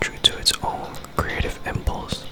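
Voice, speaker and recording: A man whispers at a fairly slow pace. Music plays in the background. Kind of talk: ASMR book reading. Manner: whispered, soft-spoken.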